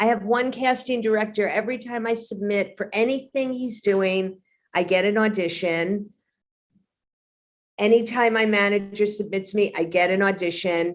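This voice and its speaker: A woman speaks with a New York accent and a medium pitch. Her intonation is fairly even and her pace moderate. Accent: heavy New York. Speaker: actor. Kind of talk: interview.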